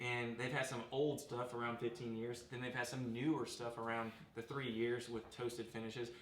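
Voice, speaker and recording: A man's medium-pitched voice, monotone and flat, with hardly any pauses, audible room echo and noticeable background noise. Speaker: bourbon review show host. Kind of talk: casual chat. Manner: fast.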